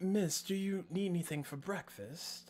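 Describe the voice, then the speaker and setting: The speaker puts on a character voice at a middle pitch. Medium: actual play. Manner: polite, deferential.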